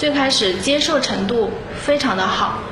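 Noticeable noise sits in the background. The room gives off an audible echo. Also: woman. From Xinhua, Loudi, Hunan. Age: 30s. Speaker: makeup and photography entrepreneur. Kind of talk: interview testimony.

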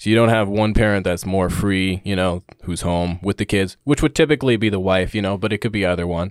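A man with an ordinary speaking voice talks at a fairly quick pace with hardly any pauses, his pitch fairly low with ordinary variation. The very clean recording has a silent background and a dry, close sound with no echo. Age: 20s. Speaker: podcast guest, host's younger brother. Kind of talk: casual chat. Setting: studio.

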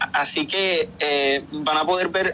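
A man's fairly high voice, fairly even in intonation, over noticeable background noise. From Puerto Rico. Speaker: musical theatre actor. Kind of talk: interview. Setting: video call. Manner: repeats words, halting.

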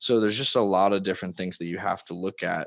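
With a Californian accent, a man talks using fairly even intonation. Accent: Californian American. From Southern California. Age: 20s. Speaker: real estate developer. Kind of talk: interview.

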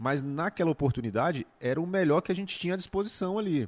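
A normal speaking voice comes from a man talking at a fairly quick pace with lively intonation. The recording is very clean, with a silent background. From Brazil, Goiás near Brasília. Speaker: YouTuber and music entrepreneur. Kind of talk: casual chat.

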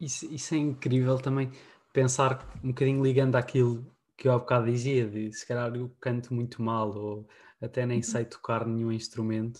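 Somewhat breathy and monotone, a man talks at a moderate pace and medium pitch. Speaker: podcast host. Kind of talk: casual chat.

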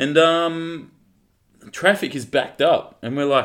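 Moderate pace from a man in an Australian accent. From Western Australia (Collie). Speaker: podcast co-host. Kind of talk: casual chat.

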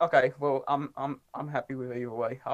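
This man has an ordinary speaking voice, pitched fairly high. He talks at a fairly quick pace. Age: 30s. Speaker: dog sport competitor. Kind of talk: casual chat.

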